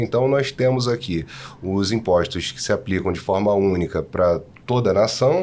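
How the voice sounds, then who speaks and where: A man with a Rio de Janeiro accent speaks at a fairly slow pace, his fairly low pitch moving with ordinary variation. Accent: carioca (Rio de Janeiro). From Rio de Janeiro, Brazil. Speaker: tax consultant. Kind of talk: podcast discussion.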